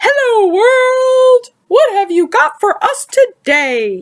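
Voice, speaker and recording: This put-on character voice is squeaky and extremely high, with a cheerful tone. It is loud and moves at a very slow pace. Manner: loud, cheerful greeting.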